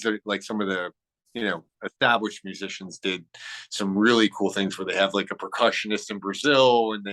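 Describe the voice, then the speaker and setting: With an American accent, a man speaks at a very fast pace in a fairly low, bright, sharp voice with fairly even intonation, and the sound is dry and close with no echo. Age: 60s. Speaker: music producer and engineer. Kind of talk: casual interview chat. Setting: video call. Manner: rambling with frequent repetitions.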